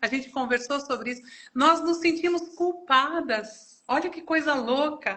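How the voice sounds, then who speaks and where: A woman's high pitch, ordinary pitch variation and moderate pace. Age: 60s. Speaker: pastor. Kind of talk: testimony. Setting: online live stream. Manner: halting.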